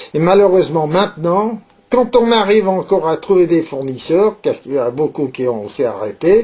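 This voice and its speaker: A dark, mellow tone at a moderate pace. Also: man. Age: 70s. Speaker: saddler, leather craftsman. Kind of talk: interview. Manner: hesitant, many filler words and repetitions.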